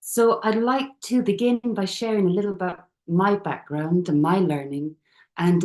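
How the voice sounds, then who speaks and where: Lively in intonation and dark, mellow in tone, a woman with an Irish accent speaks at a moderate pace. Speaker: youth and community worker. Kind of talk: presentation. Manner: soft-spoken.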